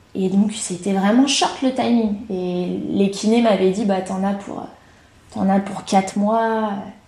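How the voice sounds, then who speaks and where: A woman speaks at medium pitch with fairly even intonation, with audible room echo in the recording. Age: 30s. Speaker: triathlete and coach. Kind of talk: casual interview.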